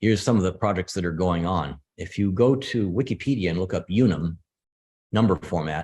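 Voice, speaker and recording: A man with an American accent speaks at a fairly quick pace with a very deep, low pitch. His pitch varies in an ordinary way against a quiet background. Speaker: computer scientist. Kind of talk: lecture. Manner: fast.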